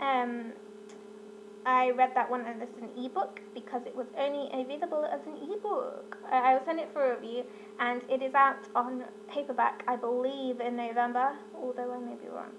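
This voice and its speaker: With a British accent, a woman talks in a high pitch with big swings in loudness over noticeable background noise. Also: ordinary pitch variation. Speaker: book vlogger. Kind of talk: casual book review monologue. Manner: fast; animated.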